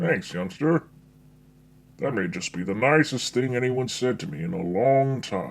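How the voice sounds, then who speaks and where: A man in a put-on character voice at a medium pitch. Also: moderate pace. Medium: audio drama. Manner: weary, melancholy.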